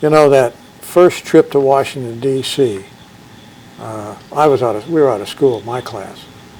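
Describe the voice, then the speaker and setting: With an American accent, a man talks at a moderate pace and medium pitch, his loudness swinging widely, his pitch varying in an ordinary way, and noticeable background noise behind him. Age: 70s. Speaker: former drum major, school alumnus. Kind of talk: interview. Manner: conversational, with many filler words.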